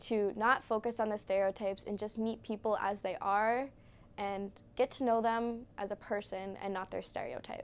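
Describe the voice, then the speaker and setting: The very clean recording, with a silent background, carries a woman's fairly high voice and fairly even intonation. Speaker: university student. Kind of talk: interview. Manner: fast.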